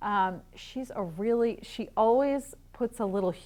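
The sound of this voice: With ordinary pitch variation, the clip features an unforced reading voice.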